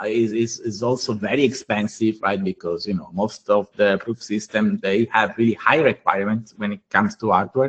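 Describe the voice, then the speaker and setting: A man with an Italian accent, hardly any pauses between his words. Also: dry, close sound with no echo. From Italy. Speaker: blockchain engineer. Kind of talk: technical workshop presentation. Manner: halting, many fillers.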